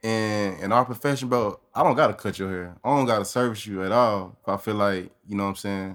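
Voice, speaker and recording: A man speaks in an ordinary speaking voice, fairly low in pitch, at a fairly quick pace with hardly any pauses. The recording is very clean, with a silent background. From Austin, Texas. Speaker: barber. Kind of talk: casual chat.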